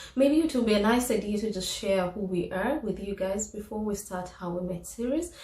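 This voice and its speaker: Noticeable background noise and audible room echo around a woman's voice at a moderate pace. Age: 30s. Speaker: vlogger interviewing her husband. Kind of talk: casual chat.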